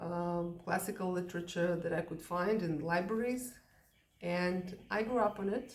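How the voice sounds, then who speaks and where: A woman with a Russian accent and a fairly low pitch, at a fairly slow pace with ordinary pitch variation and audible room echo. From Soviet Union. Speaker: English teacher. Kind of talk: casual talk to camera. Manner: hesitant, many fillers.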